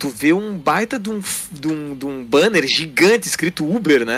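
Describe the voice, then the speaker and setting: A man talks at a moderate pace in an unremarkable speaking voice. His pitch is fairly high, with lively intonation. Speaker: gamer, co-host helper. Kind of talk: casual chat. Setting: online call.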